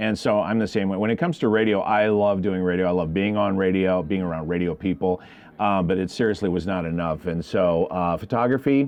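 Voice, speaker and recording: A man with a very deep, low voice speaks at a fairly quick pace. He hardly pauses and uses ordinary pitch variation. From South Dakota. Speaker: morning radio host. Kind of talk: radio interview answer. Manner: casual, friendly.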